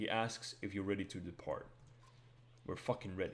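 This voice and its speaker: Fairly quick in delivery, this man's speech carries a non-native accent. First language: not English. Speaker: gaming streamer. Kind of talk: live game stream, reading game text aloud. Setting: livestream.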